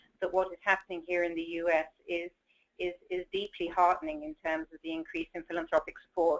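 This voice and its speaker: A woman with a British accent, fairly low in pitch, fairly quick in pace and flat, monotone in intonation. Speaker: education association president. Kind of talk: panel discussion.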